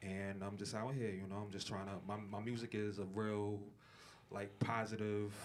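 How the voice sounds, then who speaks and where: In a room with audible echo, a man talks at a fairly low pitch with monotone, flat intonation. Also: moderate pace. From Brooklyn, New York. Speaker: rapper. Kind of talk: interview. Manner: casual, filler-heavy.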